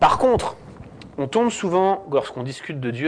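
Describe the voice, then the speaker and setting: The man speaks at a very slow pace. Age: 30s. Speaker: theology student and guest speaker. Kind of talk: lecture. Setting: church with audience.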